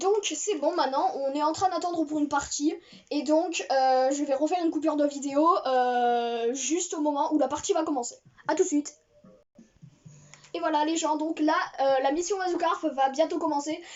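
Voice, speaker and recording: A high-pitched woman at a moderate pace, with ordinary pitch variation and long, frequent pauses, over music in the background. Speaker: gaming youtuber. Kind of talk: gameplay commentary. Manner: hesitant, many fillers.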